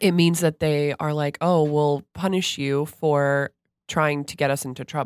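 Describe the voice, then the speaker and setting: A woman with a very deep, low pitch talks fairly slowly in a flat monotone. The recording is very clean and silent behind her, with a dry, close sound and no echo. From Florida (Stuart). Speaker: guest co-host. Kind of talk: casual chat.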